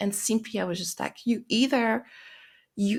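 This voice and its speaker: Recorded very cleanly against a silent background, a woman with a French accent speaks at a fairly slow pace with vocal fry. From France. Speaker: life purpose and mindset coach. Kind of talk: podcast monologue. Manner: halting, many fillers and restarts.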